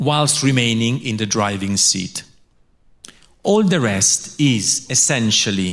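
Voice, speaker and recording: A man at a medium pitch and a fairly slow pace. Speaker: philosophy professor. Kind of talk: lecture. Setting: lecture hall with audience and translator. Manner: halting, pausing for translation.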